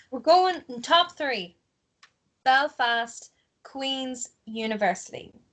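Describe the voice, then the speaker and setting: Very slowly and with long, frequent pauses, a woman with an Ulster accent speaks at a high pitch using lively intonation. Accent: Ulster Irish. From Ulster, Ireland. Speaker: podcast host. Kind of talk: casual chat.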